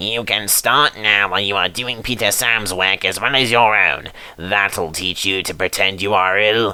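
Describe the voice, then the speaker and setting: Putting on a character voice, a man speaks at a fairly low pitch and a moderate pace, with fairly even intonation and hardly any pauses. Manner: stern, scolding.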